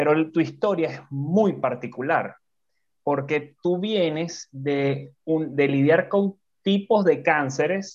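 A man talks at a very slow pace in a fairly high pitch. His pitch varies in an ordinary way, and the background is quiet. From Venezuela. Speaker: podcast co-host, entrepreneur and speaker. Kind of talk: casual interview chat. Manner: animated.

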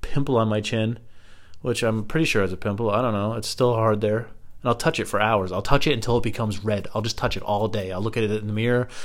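Here a man talks at a very fast pace in a medium pitch. His intonation is fairly even. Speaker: comedic podcaster. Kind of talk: profane hypochondriac comedy rant, solo monologue. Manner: escalating, exasperated profanity-laced ranting; self-mocking, breaks into laughter mid-rant.

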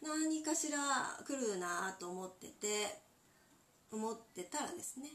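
Breathing somewhat audibly, a woman with a fairly high pitch speaks at a fairly slow pace, her pitch swinging very widely between long, frequent pauses, while audible room echo surrounds her. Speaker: handmade interior accessory maker. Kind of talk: solo podcast talk. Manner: polite, many filler pauses.

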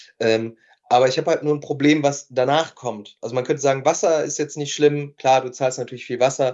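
A man with an unremarkable speaking voice talks at a fairly quick pace, his pitch fairly high and his intonation fairly even. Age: 30s. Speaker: entrepreneur and nutrition scientist. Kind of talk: casual chat.

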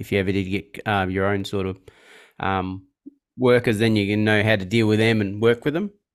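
With an Australian accent, a man speaks fairly quickly at a fairly low pitch and with fairly even intonation, on a very clean recording with a silent background. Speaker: podcast host and car detailer. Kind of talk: casual interview. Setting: podcast recording. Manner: hesitant with many fillers.

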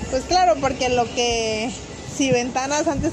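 Over noticeable background noise and audible room echo, a woman talks at a moderate pace in a high pitch. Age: 30s. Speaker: real estate agent. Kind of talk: personal testimony.

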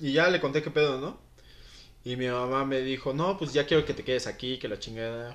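The man's voice sits at a medium pitch with ordinary pitch variation. He talks at a very fast pace. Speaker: former footballer. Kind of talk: interview. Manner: casual, slangy.

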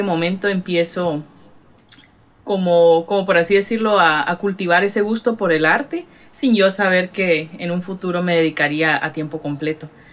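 In a plain, everyday voice, a woman speaks at a moderate pace, fairly low in pitch with ordinary pitch variation. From Guatemala, Retalhuleu. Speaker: artist and gallery owner. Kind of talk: casual interview.

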